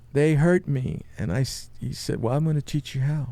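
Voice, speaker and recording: A man talks in a medium-pitched voice. His tone is dark and mellow. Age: 70s. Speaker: podcast host, long-distance walker. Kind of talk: testimony. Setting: studio.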